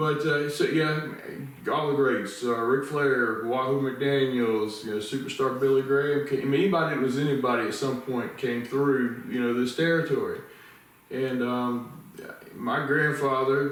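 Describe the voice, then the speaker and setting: Amid noticeable background noise and audible room echo, a man with a Southern US accent speaks at a moderate pace, medium in pitch with fairly even intonation. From US South, the Carolinas (Wilmington, North Carolina). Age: 50s. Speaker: interviewer and ministry leader. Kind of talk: casual interview chat. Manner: slurred, stuttering speech from illness.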